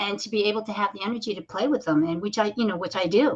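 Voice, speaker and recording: A woman with a normal speaking voice talks at a fairly quick pace. Her pitch varies in an ordinary way. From United States (born in Korea). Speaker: talk show host. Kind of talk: casual interview chat.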